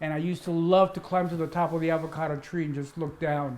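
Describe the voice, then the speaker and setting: Speaking with a Spanish accent, a man uses a high pitch and a monotone, flat intonation. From Cuba, raised in Washington D.C. from childhood. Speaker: interviewee recounting life story. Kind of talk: interview, personal life story.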